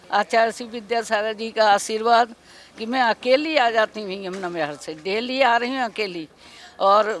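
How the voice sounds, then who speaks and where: This woman's pitch varies in an ordinary way while noticeable noise runs in the background. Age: 70s. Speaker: devotee attending religious festival. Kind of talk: interview.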